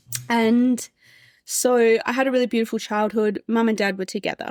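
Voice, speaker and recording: Speaking with an Australian accent, a woman uses a fairly high voice at a moderate pace. The recording is very clean, with a silent background. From Australia, Adelaide Hills. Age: 30s. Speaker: podcast guest sharing life story. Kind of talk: personal testimony interview.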